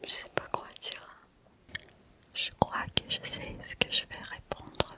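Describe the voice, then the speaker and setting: A whisper comes at a very slow pace. Behind it sits noticeable background noise. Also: woman, big swings in loudness. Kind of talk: ASMR whisper video. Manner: whispered, close to microphone.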